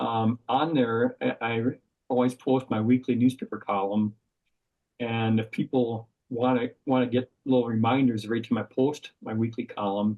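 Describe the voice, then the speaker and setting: A man's medium-pitched voice keeps a flat, monotone intonation at an unhurried, moderate tempo. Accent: Upper Midwest. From Wisconsin, Madison. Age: 60s. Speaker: outdoor writer. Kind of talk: podcast interview. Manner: halting.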